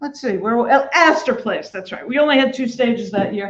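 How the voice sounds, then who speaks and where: Loud and with a Brooklyn accent, a woman speaks at a high pitch with ordinary pitch variation. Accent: New York (Brooklyn). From New York City (Brooklyn). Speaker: festival producer. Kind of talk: speech to an audience. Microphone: no microphone.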